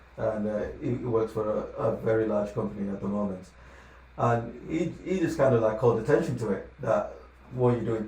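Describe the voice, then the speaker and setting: A man speaks at a fairly quick pace in a medium pitch, with ordinary pitch variation. Noticeable background noise and audible room echo fill the recording. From Lagos, Nigeria, then UK from age 15. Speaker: financial advisor. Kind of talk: podcast interview.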